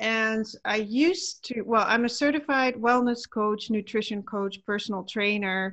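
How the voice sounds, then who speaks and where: Against a quiet background, a woman with a Dutch accent speaks at a fairly slow pace and fairly high pitch, with ordinary pitch variation. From Netherlands. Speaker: wellness coach. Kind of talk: interview.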